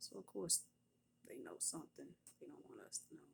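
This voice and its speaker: A woman whispers. Her pace is moderate. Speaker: nurse and prophetess. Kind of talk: casual testimony. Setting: at work. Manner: whispering; animated.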